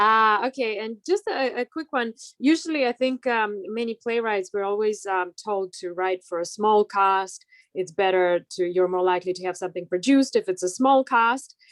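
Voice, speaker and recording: A woman's fairly high voice with a non-native accent, ordinary pitch variation and a moderate pace, in a dry, close sound with no echo. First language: not English. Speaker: playwright. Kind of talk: Zoom Q&A question. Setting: video call.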